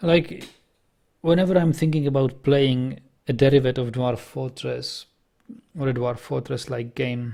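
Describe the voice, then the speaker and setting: This man keeps a moderate pace. He leaves long, frequent pauses. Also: medium pitch for a man, ordinary pitch variation. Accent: Czech. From Czech Republic, German minority. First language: Czech. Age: 30s. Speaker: video game streamer. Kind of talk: casual gaming commentary with chat. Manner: halting, frequent self-corrections.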